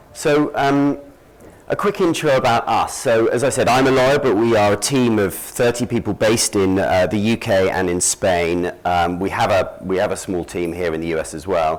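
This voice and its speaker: A man with a British accent, medium pitch, lively intonation and a moderate pace. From Britain. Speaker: conference speaker, lawyer and market analyst. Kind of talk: conference presentation. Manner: hesitant, many fillers.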